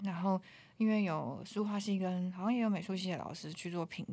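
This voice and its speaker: A woman's medium-pitched voice with fairly even intonation and a fairly quick pace. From Taiwan, Taoyuan. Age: 20s. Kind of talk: casual chat. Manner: languid.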